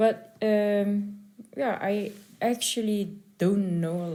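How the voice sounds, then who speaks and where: A woman with a Dutch accent speaks in a dark, mellow tone. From Netherlands. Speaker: concert pianist. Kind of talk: interview. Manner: halting.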